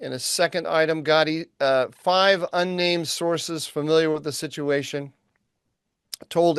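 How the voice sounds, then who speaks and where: Speaking at a moderate pace with an American accent, a man has an unremarkable speaking voice, fairly high in pitch, recorded dry and close with no echo against a quiet background. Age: 60s. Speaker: podcast co-host, think tank analyst. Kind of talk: news rundown; casual podcast conversation.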